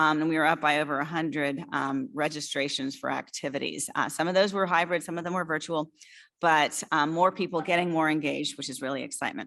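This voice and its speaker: A woman talks at a very fast pace in a very deep, low voice with fairly even intonation. The recording is very clean, with a silent background. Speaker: association executive director. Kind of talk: annual meeting report. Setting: live-streamed hybrid meeting.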